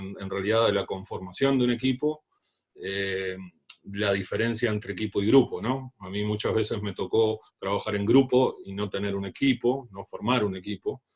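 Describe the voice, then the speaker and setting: With a Uruguayan accent, a man talks at a moderate pace, fairly low in pitch and fairly even in intonation. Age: 30s. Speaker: leadership trainer.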